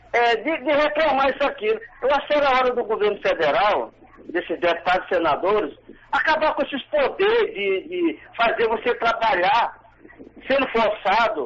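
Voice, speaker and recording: A man's extremely high pitch in very wide swings, with very even loudness, a moderate pace and noticeable background noise. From Maranhão, Brazil. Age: 60s. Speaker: caller, retired federal employee. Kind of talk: radio call-in opinion.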